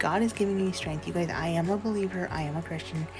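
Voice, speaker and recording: Clear music plays in the background as a woman speaks. Her fairly low voice shows ordinary pitch variation. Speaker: vlogger. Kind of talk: casual vlog chat. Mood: earnest, personal, faith-filled. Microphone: phone near.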